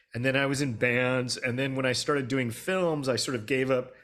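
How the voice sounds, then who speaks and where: A man speaks at a moderate pace with an American accent. His pitch sits in the middle range. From US West Coast, Los Angeles. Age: 60s. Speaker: film director. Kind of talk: interview.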